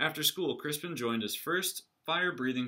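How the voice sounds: The background stays quiet. This is a natural reading voice.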